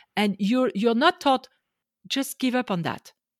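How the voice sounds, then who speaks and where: Speaking at a fairly quick pace with lively intonation, a woman with a French accent is heard in a very clean recording against a silent background. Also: dry, close sound with no echo. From France. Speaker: life coach. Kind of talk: interview.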